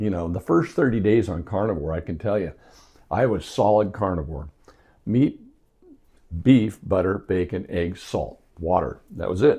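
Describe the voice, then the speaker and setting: With an American accent, a man speaks at a moderate pace in a fairly low, dark, mellow voice that is somewhat breathy. His intonation is lively. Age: 60s. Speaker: health vlogger. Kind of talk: casual tutorial.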